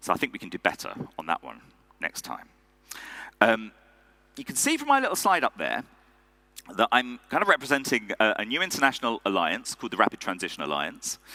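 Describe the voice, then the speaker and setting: Speaking at a fairly quick pace with an English accent, a man leaves long, frequent pauses and swings widely in loudness, in a dry, close sound with no echo. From England. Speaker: conference speaker. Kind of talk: keynote speech. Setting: stage with audience. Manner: conversational with frequent fillers.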